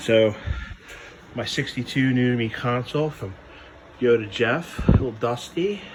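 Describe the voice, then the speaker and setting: A quiet voice speaks at a moderate pace with ordinary pitch variation and long, frequent pauses. Noticeable background noise is present. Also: man, medium pitch for a man. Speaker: car hobbyist vlogger. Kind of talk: casual how-to tutorial. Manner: quiet, hushed.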